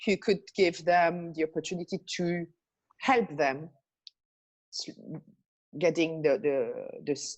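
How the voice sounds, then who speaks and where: A woman with a fairly low pitch speaks very slowly, using ordinary pitch variation. Her speech has long, frequent pauses. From Belgium. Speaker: life and business coach. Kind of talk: interview. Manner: animated, many hesitations and repetitions.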